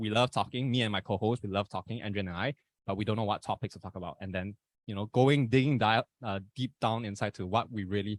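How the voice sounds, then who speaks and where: A man with a Malaysian accent talks very fast at a fairly low pitch, his intonation fairly even, in a very clean, dry, close recording with no echo and a silent background. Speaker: podcast host. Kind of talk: casual chat.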